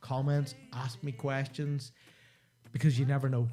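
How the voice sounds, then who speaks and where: A man with a Northern Irish accent speaks in a dark, mellow tone that is somewhat breathy. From Northern Ireland. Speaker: live-stream host, video creator. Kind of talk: live stream monologue. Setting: home studio office.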